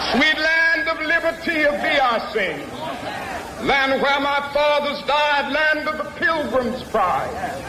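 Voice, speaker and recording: Against noticeable background noise, a man with an American accent uses a raised, projected voice at an extremely high pitch, speaking at a very slow pace with ordinary pitch variation and very even loudness. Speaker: civil rights leader and preacher. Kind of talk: public speech at a rally, sermon-style oratory. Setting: outdoor public address, crowd event, archival recording. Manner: rhythmic, impassioned, building in intensity.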